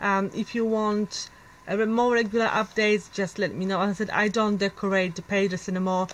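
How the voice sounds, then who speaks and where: Speaking with a non-native accent, a woman keeps a medium pitch, fairly even intonation and a moderate pace. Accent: foreign. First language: not English. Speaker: planner vlogger. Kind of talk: casual show-and-tell video. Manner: halting, many fillers.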